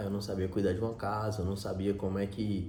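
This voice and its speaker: Over noticeable background noise and audible room echo, a man speaks. His pitch is fairly low and his pace fairly quick. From Minas Gerais, Brazil. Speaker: vlogger. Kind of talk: personal storytelling monologue. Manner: casual, with self-repetitions.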